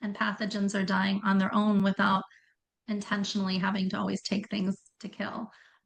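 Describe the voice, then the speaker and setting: Somewhat breathy and flat in intonation, a woman speaks at medium pitch and a fairly quick pace. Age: 60s. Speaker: functional health coach. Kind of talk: podcast interview.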